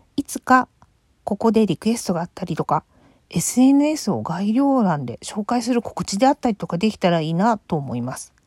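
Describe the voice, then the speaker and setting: The sound is dry and close with no echo. The somewhat breathy voice makes very wide pitch swings. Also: woman. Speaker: solo podcaster. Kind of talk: casual solo talk. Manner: hesitant, many fillers.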